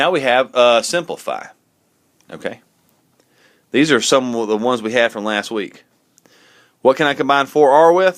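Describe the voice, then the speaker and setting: A man speaks at a moderate pace and medium pitch, with ordinary pitch variation. His long pauses come often against a quiet background. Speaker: math teacher. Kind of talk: tutorial. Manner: casual. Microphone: phone near.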